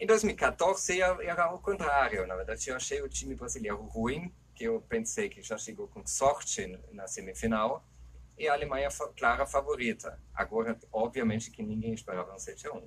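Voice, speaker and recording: A man with a German accent at a moderate pace, his loudness swinging widely. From Germany. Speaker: anthropologist, football pundit. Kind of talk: casual discussion.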